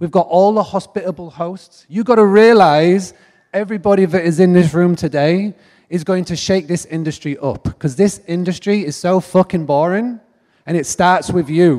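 Speaking at a moderate pace with a northern English accent, a man has a high pitch, a dark, mellow tone and ordinary pitch variation. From northern England. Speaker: direct booking marketing speaker. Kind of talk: conference keynote talk. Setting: stage with audience. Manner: animated.

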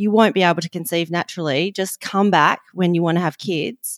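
In an Australian accent, a woman speaks at a fairly low pitch, recorded very cleanly with a silent background and a dry, close sound with no echo. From Western Australia. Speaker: nutrition and lifestyle coach. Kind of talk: interview.

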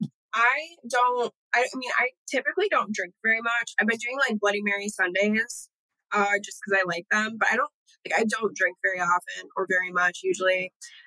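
A woman's fairly high, bright, sharp voice with an American accent, at a fairly quick pace with ordinary pitch variation and a dry, close sound with no echo. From Southeast Michigan. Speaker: model and actress. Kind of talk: casual chat.

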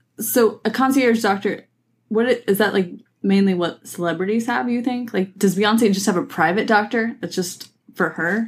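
A woman talks at a moderate pace in a medium pitch with ordinary pitch variation. Her voice is somewhat breathy. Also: very clean recording, silent background. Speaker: co-host. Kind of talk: casual chat.

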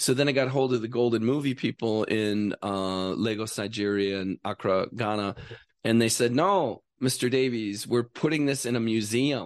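A man with a normal speaking voice and an American accent, medium in pitch with ordinary pitch variation, at a moderate pace over a quiet background. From Wisconsin, US Midwest. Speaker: writer and actor. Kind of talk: casual chat. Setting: studio.

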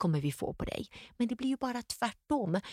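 A woman talks at a moderate pace, somewhat breathy, her pitch swinging very widely. The recording is very clean with a silent background and a dry, close sound without echo. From Sweden, Gothenburg. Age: 50s. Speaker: entrepreneur. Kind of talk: interview. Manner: animated.

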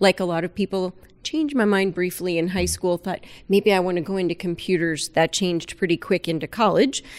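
A woman with an ordinary speaking voice, pitched in the middle range. Her intonation stays fairly even over a very clean recording with a silent background. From South Florida. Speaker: aquarium veterinarian. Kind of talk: casual interview.

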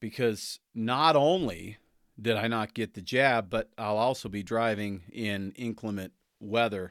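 A man with an American accent speaks at a fairly slow pace, his medium pitch showing ordinary variation. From United States. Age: 50s. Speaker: radio host. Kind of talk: casual monologue on radio show. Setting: studio. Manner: animated, laughing often.

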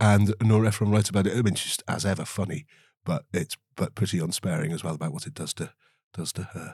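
In a very clean recording with a silent background and a dry, close sound with no echo, a man speaks at a very fast pace with a fairly low, somewhat breathy voice and ordinary pitch variation. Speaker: podcast co-host. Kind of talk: casual book discussion; scripted segment intro. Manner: halting, many repetitions.

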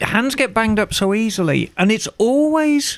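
A man's voice, high in pitch. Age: 50s. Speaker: motorcycle podcast co-host. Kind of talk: casual chat. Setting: garage studio.

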